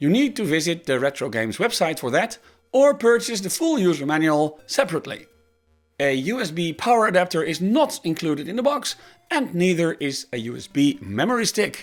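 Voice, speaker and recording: A man with a Dutch accent, high-pitched, talking at a fairly quick pace with very wide pitch swings over music in the background. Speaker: tech reviewer. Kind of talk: product review.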